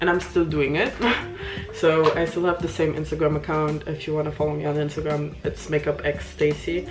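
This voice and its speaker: With audible room echo and noticeable background noise, a woman with a non-native accent speaks at a moderate pace in a very deep, low pitch. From Luxembourg. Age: 20s. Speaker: beauty vlogger. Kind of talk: casual chat. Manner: casual, hesitant with fillers.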